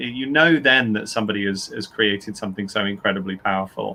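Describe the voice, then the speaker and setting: This man's voice sits at a fairly low pitch. His words come at a fairly quick pace. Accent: British. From UK. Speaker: author and writing teacher. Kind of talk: panel discussion. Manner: halting, with frequent repetitions.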